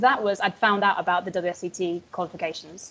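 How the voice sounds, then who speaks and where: A woman speaks with a Yorkshire accent. Her pace is fairly quick. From northern England, Yorkshire. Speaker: wine educator. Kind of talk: interview. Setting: video call. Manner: hesitant, many fillers.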